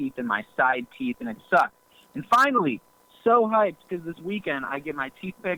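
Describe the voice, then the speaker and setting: A man with an unremarkable speaking voice and an American accent talks at a moderate pace with lively intonation. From US Midwest, Cleveland. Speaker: YouTuber, actor and rapper. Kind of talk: casual chat.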